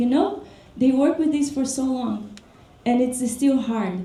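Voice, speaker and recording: With ordinary pitch variation, the speech moves at a moderate pace in audible room echo. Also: woman. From Brazil. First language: Portuguese. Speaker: dance teacher. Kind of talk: workshop talk. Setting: workshop with audience.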